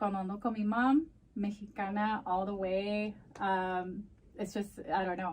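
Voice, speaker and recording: A somewhat breathy woman's voice at medium pitch, with fairly even intonation and a fairly slow pace. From US, Mexican-American family. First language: Spanish. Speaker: crisis program manager and community advocate. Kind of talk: interview, casual bilingual chat. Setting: podcast.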